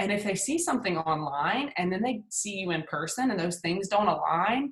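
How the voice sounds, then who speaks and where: A woman speaks with a Southern US accent at a moderate pace. Her medium-pitched voice is somewhat breathy, with lively intonation. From US South, Hattiesburg, Mississippi. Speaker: PR agency founder and speaker. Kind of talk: webinar presentation. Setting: video call. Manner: casual, filler-heavy.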